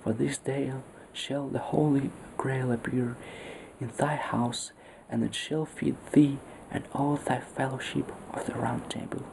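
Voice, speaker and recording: A soft-spoken voice moves at a fairly slow pace with long, frequent pauses over noticeable background noise. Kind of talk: story reading.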